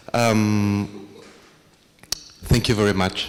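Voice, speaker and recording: A man's fairly low voice in a strong Argentine accent, very slow, against noticeable background noise. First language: Spanish (speaking French). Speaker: international organization director. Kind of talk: panel presentation.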